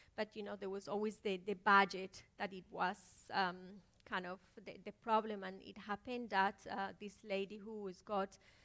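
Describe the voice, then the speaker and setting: Monotone, flat intonation at a moderate pace with a bright, sharp tone in a Spanish accent. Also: woman, medium pitch for a woman. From Colombia. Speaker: filmmaker. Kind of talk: panel talk. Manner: halting.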